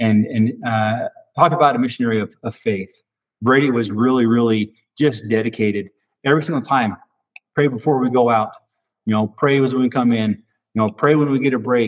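The speaker uses an American accent, moving at a fairly quick pace with fairly even intonation. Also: man, medium pitch for a man. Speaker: retired police officer and teacher. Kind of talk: casual interview.

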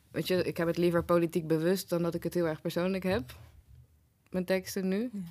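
An unremarkable speaking voice from a woman, fairly low in pitch, with fairly even intonation and a fairly quick pace. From Netherlands, Den Bosch. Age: 30s. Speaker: writer and programme maker. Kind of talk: casual interview chat.

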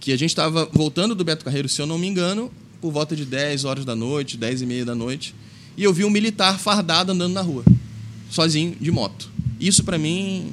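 Noticeable background noise sits under a man speaking in a Carioca accent. He talks at a fairly quick pace with lively intonation. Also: fairly high pitch for a man. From Brazil, Rio de Janeiro. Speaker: taekwondo instructor and clinic marketer. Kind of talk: interview. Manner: halting.

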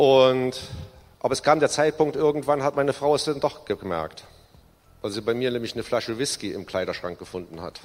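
A man in an ordinary speaking voice, medium-pitched, with lively intonation at a fairly quick pace. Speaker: recovered alcoholic giving testimony. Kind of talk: testimony. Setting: church service.

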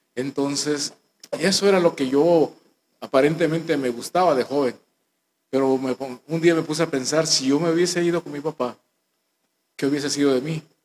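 Fairly high male speech at a moderate pace with ordinary pitch variation, in a dry, close sound with no echo. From Guatemala, Guatemala City. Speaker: church minister. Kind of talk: testimony.

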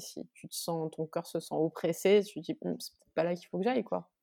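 A woman at a fairly slow pace, dry and close with no echo. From Corsica. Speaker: musician. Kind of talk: interview. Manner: halting.

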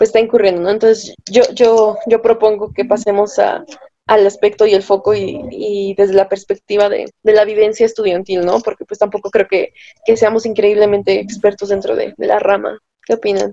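A woman with a fairly high pitch speaks at a moderate pace in a monotone, flat intonation, the sound dry and close with no echo. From Mexico, Tlaxcala. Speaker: law student, podcast co-host. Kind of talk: casual group discussion.

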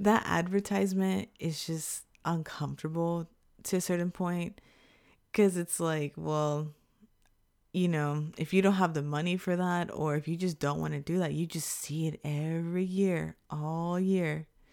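In a normal speaking voice with an American accent, the speaker talks at a fairly slow pace with ordinary pitch variation, on a very clean recording with a silent background. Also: woman, fairly low pitch for a woman. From Texas, Houston. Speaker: podcast host. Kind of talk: casual chat.

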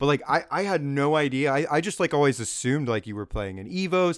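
Very fast and lively in intonation, a man with an American accent speaks at fairly high pitch on a very clean recording with a silent background. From California. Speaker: podcast host. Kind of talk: casual chat.

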